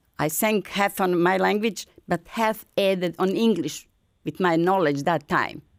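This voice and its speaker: In a very clean recording with a silent background, a woman with a Bosnian accent talks at a fairly slow pace. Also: medium pitch for a woman, ordinary pitch variation, very even loudness. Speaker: folk singer and retired language service coordinator. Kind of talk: interview testimony. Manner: halting non-native English.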